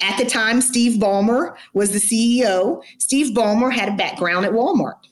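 A woman with an American accent speaks at a moderate pace in an animated tone with lively intonation. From US South, Atlanta. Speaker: sports team HR executive. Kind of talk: interview.

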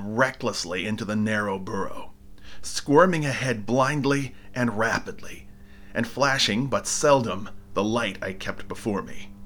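A man speaks in a normal speaking voice at medium pitch, taking a fairly slow pace with lively intonation. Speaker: audiobook narrator. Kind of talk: dramatic first-person horror narration, reading aloud. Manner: breathless, frantic build through piled-up verbs; darkly theatrical, lingering on eerie description.

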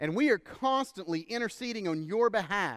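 With a Texan accent, a man talks at a moderate pace and a high pitch, varying it in an ordinary way. The recording is very clean and the background silent. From Texas. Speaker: pastor. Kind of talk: sermon. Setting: church.

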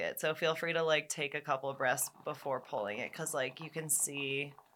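A woman's very deep, low voice, bright and sharp in tone, at a moderate pace. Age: 20s. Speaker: podcast host. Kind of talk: casual chat. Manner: animated.

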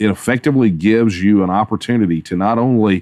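A man with a Texan accent, fairly low in pitch, at a moderate pace with ordinary pitch variation against a quiet background. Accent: Texan Southern US. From Texas. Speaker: political activist. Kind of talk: interview.

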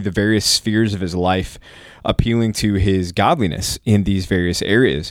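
Here a man speaks with a Texas accent. His pitch is fairly low, with ordinary pitch variation. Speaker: pastor. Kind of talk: Bible study discussion.

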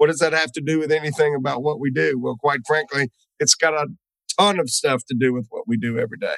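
A man speaks very fast in a Southern US accent, his pitch fairly high. The sound is dry and close, with no echo. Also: ordinary pitch variation. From US South. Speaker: webinar host. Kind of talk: interview. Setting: video call.

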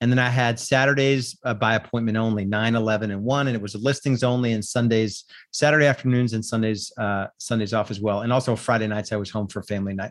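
The speaker talks at a very fast pace with hardly any pauses. Intonation is fairly even against a quiet background. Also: man, medium pitch for a man. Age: 40s. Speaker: real estate coach and podcast host. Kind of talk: solo monologue podcast. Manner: hesitant with frequent fillers.

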